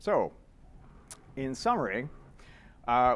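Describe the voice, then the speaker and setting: With a Canadian accent, a man speaks at medium pitch with lively intonation. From Canada. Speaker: software developer, conference speaker. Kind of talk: conference talk. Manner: fast; casual, filler-heavy.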